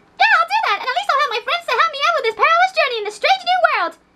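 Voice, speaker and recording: A man puts on a squeaky character voice at an extremely high pitch and talks very fast. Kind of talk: comic overacting. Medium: solo performance. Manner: shrill, anxious, overexcited.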